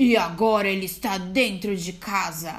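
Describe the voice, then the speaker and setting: At a moderate pace, a woman of medium pitch performs a put-on character voice with audible echo. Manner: gleeful, exclaiming.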